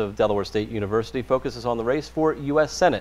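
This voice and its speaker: A man's medium-pitched voice with vocal fry at a very fast pace. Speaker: radio interviewer. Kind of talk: interview questions.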